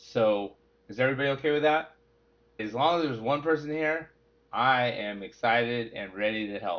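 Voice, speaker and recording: A man with a medium-pitched voice speaks at a fairly slow pace. His tone is animated, with ordinary pitch variation. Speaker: weight loss coach. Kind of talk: sales webinar presentation.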